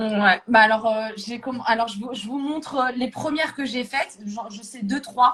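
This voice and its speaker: A woman with a fairly high pitch and ordinary pitch variation talks at a moderate pace with hardly any pauses and big swings in loudness. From France, Paris-area suburbs (banlieue), Moroccan parents. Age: 30s. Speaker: calligraphy hobbyist. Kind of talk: casual interview. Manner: hesitant, many repetitions.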